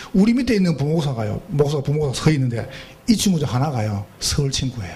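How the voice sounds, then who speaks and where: In a strong Gyeongsang accent, an animated voice moves at a fairly quick pace with very wide pitch swings, over noticeable background noise and audible room echo. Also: man. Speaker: pastor. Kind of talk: sermon. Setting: church retreat with congregation.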